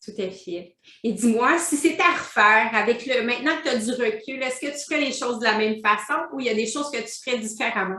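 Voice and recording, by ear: A woman speaks at a fairly quick pace in a fairly high pitch. Her tone is bright and sharp, with ordinary pitch variation.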